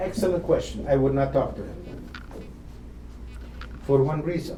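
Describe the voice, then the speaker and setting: A man talks at a moderate pace. Noticeable background noise and audible room echo are present. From Eastern Europe (Romania/Ukraine), later Israel. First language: not English (multilingual; learned English as adult). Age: 80s+. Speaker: Holocaust survivor speaker. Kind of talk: talk to students, Q&A. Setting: lecture hall with student audience, livestreamed.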